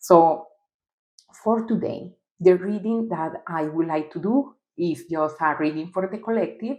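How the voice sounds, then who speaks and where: Speaking at a fairly slow pace, a woman has a fairly low pitch and ordinary pitch variation. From Costa Rica and Colombia. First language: Spanish. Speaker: tarot reader. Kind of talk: tarot reading monologue. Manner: halting.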